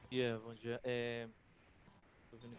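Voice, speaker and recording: A man speaks at a medium pitch and a moderate pace. Audible room echo surrounds his voice. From Bahia, Brazil. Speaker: lawyer, legislative attorney. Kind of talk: online lecture. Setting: video call. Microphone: faulty mic, sound too quiet.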